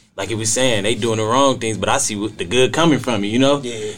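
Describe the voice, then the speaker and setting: A man with an American accent talks at a very fast pace with ordinary pitch variation while music plays in the background. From Canton, Ohio. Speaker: youth mentoring program director. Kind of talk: casual group conversation. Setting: podcast studio.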